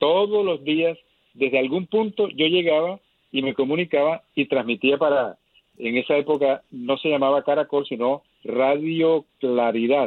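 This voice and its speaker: This is an ordinary speaking voice at a fairly slow pace. Pitch variation is ordinary and loudness stays very even. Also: man, fairly high pitch for a man. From Colombia, Caribbean coast (Lorica). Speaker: journalist and travel broadcaster. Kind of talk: interview.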